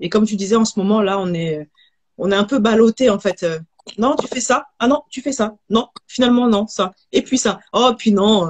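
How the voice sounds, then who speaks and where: A woman talks at a moderate pace with fairly high pitch. Her voice is somewhat breathy, with a dry, close sound and no echo. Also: ordinary pitch variation. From Haiti. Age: 30s. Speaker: holistic hair therapist and entrepreneur. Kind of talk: live video interview. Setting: livestream.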